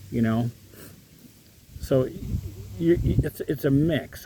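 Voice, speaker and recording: Speaking with an American accent, a man keeps a moderate pace and lively intonation. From US Midwest, Michigan. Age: 60s. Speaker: retiree vlogger. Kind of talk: casual vlog monologue. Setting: outdoors in a park. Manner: hesitant, many fillers.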